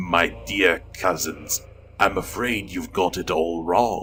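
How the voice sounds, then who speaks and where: A man puts on a character voice with very deep, low pitch. He speaks at a very slow pace over clear background noise. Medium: read story. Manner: smug, mocking.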